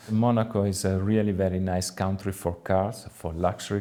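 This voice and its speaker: A man speaks at a moderate pace in a very deep, low voice with an Italian accent. His tone is dark and mellow, and his intonation stays flat and monotone. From Italy, Tuscany. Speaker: car dealership manager. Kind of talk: interview. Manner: hesitant with frequent fillers.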